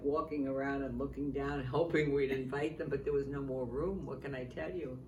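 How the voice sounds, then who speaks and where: A woman with a New York accent talks at a fairly quick pace in a very deep, low pitch, amid noticeable background noise and audible room echo. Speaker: retirement community resident. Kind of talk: casual chat.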